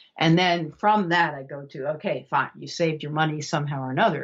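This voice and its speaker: The speech moves at a fairly quick pace with hardly any pauses. Loudness swings widely while pitch varies in an ordinary way. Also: woman. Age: 70s. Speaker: author. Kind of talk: interview. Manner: halting, many restarts.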